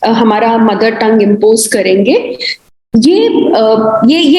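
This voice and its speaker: With audible room echo, the speaker uses a Himachali accent and very wide pitch swings. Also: woman. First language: Kangri (speaking Hindi). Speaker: university professor. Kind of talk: panel discussion. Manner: frequent hesitation fillers.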